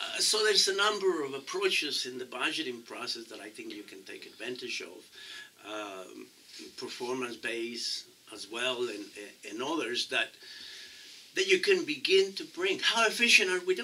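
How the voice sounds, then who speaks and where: Noticeable background noise behind a man whose loudness swings widely. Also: moderate pace. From Mexico. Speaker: city council candidate. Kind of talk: interview. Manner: halting, many repetitions.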